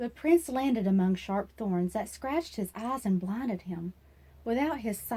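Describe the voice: The delivery here is plain reading aloud.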